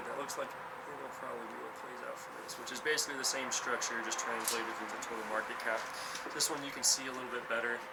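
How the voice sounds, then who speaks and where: A man talks at a fairly quick pace over noticeable background noise, with audible echo in the room. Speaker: crypto trading streamer. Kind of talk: live stream market analysis. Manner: fast.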